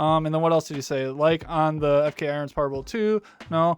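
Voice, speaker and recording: A man speaks in a fairly high pitch. His intonation stays fairly even. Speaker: tattoo artist and channel host. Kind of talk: product review Q&A. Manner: fast; casual, filler-heavy.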